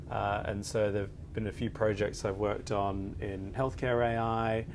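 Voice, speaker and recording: Audible room echo surrounds the recording. A man speaks in a fairly low pitch. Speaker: lawyer. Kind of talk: panel interview. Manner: hesitant, many filler words.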